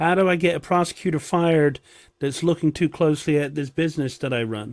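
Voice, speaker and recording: A man's fairly high voice at a fairly quick pace, with ordinary pitch variation, on a very clean recording with a silent background. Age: 60s. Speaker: political commentator. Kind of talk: reaction commentary. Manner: sarcastic.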